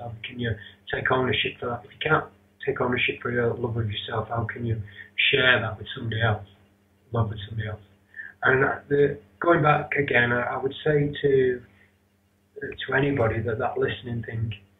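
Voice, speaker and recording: With a Northern English accent, a man talks at a fairly quick pace and medium pitch, his intonation fairly even and broken by long, frequent pauses. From Rochdale, north of England. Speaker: yoga teacher and internet radio host. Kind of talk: interview answer.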